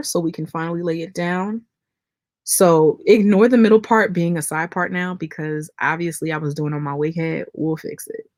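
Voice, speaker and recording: In a very clean recording with a silent background, a woman with a fairly low pitch talks at a fairly slow pace in a plain, everyday voice with ordinary pitch variation. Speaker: beauty YouTuber. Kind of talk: live-stream tutorial and chat. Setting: live stream. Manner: casual, chatty.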